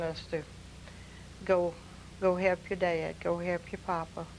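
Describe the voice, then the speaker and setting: Speaking at a fairly slow pace, a woman with a Louisiana accent has a fairly low pitch. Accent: Southern US (Louisiana). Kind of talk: oral history reminiscence. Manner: slow, hesitant.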